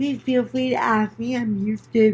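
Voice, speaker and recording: A woman's fairly high, somewhat breathy voice with fairly even intonation. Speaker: doll collecting vlogger. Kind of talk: casual vlog talk. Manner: hesitant with many fillers.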